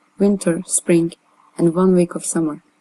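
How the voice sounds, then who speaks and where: With a Turkish accent and a dark, mellow tone, the voice moves at a moderate pace in a dry, close sound with no echo. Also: woman. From Turkey. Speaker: artist. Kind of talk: reading aloud.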